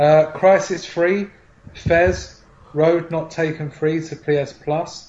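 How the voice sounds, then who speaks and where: A man speaks with a British accent, his pitch sitting fairly high for a man. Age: 20s. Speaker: podcast host. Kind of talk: casual chat.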